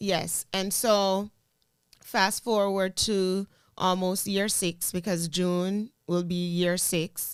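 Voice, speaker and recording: This woman has a strong Jamaican accent and a medium pitch, speaking at a very slow pace in a flat monotone. The recording is very clean, with a silent background. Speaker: teacher and content creator. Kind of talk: casual interview chat.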